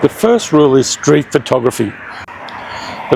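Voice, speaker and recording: Over noticeable background noise, a man with a medium-pitched voice talks at a moderate pace with lively intonation. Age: 60s. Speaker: travel vlogger. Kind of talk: casual vlog narration while walking. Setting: outdoors.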